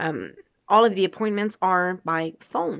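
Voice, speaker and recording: A woman in a Quebec accent, with ordinary pitch variation. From Quebec, Canada. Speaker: vlogger. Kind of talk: casual vlog monologue. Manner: halting, many fillers.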